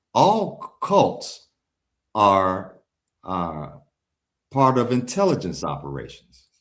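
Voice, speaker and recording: This man speaks at a medium pitch and a very slow pace, with long, frequent pauses and very wide pitch swings. Room echo is audible. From Chicago, US. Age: 60s. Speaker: religious movement follower and author. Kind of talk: interview. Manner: emphatic.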